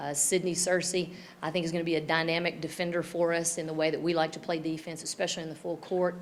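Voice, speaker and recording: Very fast and monotone, with flat intonation, a woman talks at a fairly low pitch in a Tennessee accent. The room echo is audible. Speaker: women's basketball head coach. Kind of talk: press conference.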